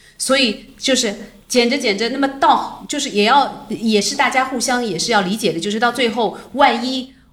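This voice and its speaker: A woman at a high pitch and moderate pace, with noticeable background noise. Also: ordinary pitch variation. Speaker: film producer. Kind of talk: casual interview. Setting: office.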